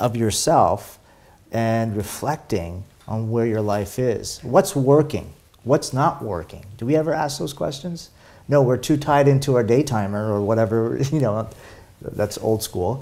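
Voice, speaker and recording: With lively intonation, a man speaks fairly slowly. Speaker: interview guest, spiritual coach. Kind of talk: interview answer. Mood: warm, reflective. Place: home room. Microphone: lapel.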